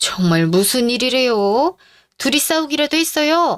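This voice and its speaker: Putting on a character voice, a woman speaks at a moderate pace, her high pitch leaping through very wide swings. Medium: audio drama.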